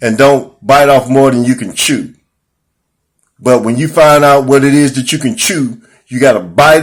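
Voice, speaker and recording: Man's medium-pitched voice at a moderate pace, with big swings in loudness and ordinary pitch variation. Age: 60s. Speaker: self-help vlogger. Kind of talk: motivational monologue. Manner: animated.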